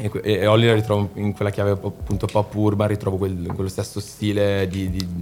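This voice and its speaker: Fairly quick, monotone, flat speech from a man with a fairly low voice, against noticeable background noise. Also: hardly any pauses. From Milan, northern Italy. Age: 20s. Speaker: singer-songwriter. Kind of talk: casual interview chat.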